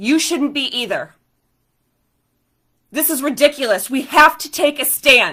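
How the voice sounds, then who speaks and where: A woman projects a raised, high, bright and sharp voice at a fairly slow pace, with ordinary pitch variation, big swings in loudness and long, frequent pauses. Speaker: constitutional attorney and activist. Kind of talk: live-stream commentary and Q&A. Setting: Facebook live video. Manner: loud, impassioned.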